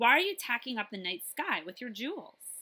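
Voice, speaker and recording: Putting on a whiny character voice, a woman speaks high at a moderate pace, her pitch swinging very widely and her loudness rising and falling sharply. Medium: read story. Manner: impatient.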